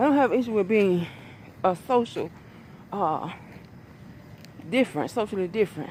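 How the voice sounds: A woman's medium-pitched voice with big pitch swings, a moderate pace and a slightly mellow tone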